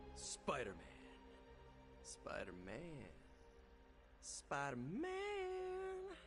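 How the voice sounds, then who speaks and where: Using a put-on character voice, a man talks at a very slow pace with long, frequent pauses over clear background noise. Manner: scary, menacing.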